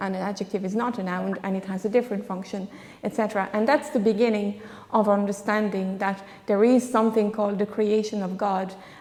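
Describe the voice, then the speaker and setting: In a French accent, a woman talks at a moderate pace and medium pitch. Her intonation is monotone and flat. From France. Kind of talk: panel discussion. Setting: church conference with audience.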